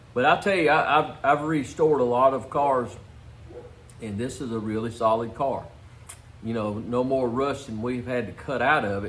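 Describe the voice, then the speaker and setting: A man speaks at medium pitch and a moderate pace, with audible room echo around him. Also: ordinary pitch variation. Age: 60s. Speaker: car restorer. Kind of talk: casual shop talk for video. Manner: halting, many fillers.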